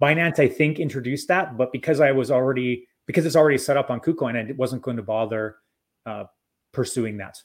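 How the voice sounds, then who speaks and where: Speaking very fast in an Albertan accent, a man keeps a medium pitch with ordinary variation on a very clean recording with a silent background. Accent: Canadian (Albertan). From Alberta, Canada. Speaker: crypto educator. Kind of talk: interview.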